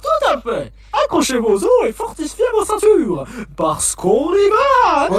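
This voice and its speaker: Putting on a character voice, a man speaks at an extremely high pitch and a fairly slow pace. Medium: fan dub. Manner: theatrical, showman-like.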